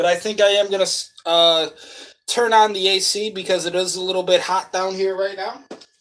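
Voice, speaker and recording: The speaker has a New England accent. The pace is fairly quick. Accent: Yankee. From Western New York, Buffalo. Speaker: livestreamer. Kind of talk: casual livestream chat.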